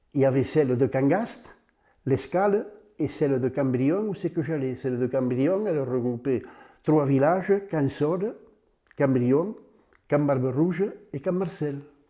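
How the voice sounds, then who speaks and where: Fairly high in pitch, a man speaks slowly with a dark, mellow tone and lively intonation. He leaves long, frequent pauses. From southern France, Aude (Puivert area). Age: 90s. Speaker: retired farmer. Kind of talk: oral history interview. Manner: halting.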